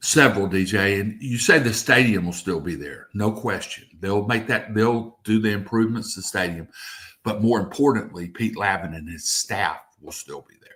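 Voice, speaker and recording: Speaking at a moderate pace, a man has a fairly low voice with a bright, sharp tone, ordinary pitch variation and big swings in loudness. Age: 60s. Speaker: local TV news reporter. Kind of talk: sports radio talk show interview.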